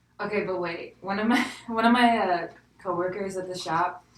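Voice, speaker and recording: A woman with a slight Southern accent, medium pitch and ordinary pitch variation at a moderate pace, with audible room echo and noticeable background noise. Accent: slight southern twang. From US South. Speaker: podcast co-host. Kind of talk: casual chat.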